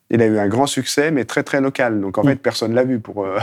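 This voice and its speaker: Fairly quick delivery from a man, medium in pitch, with ordinary pitch variation. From Haute-Savoie, France. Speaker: documentary filmmaker. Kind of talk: interview. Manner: halting, with repetitions.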